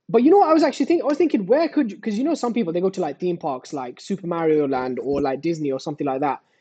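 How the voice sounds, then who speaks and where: The voice has a dark, mellow tone and a British accent, with very wide pitch swings. It moves at a very fast pace over a quiet background. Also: man, high pitch for a man. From Britain. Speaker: gaming youtuber. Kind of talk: casual chat. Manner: animated, filler-heavy.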